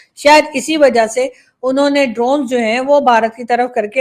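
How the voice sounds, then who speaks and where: A woman's voice sits high in pitch. Behind it is a silent background in a very clean recording. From Pakistan. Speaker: political commentator, YouTuber. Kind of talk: opinion monologue.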